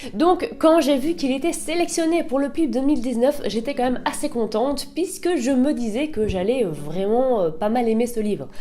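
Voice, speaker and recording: Pitched high, a woman talks at a moderate pace with lively intonation and hardly any pauses. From northern France. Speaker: booktuber. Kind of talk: book review vlog. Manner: casual, chatty.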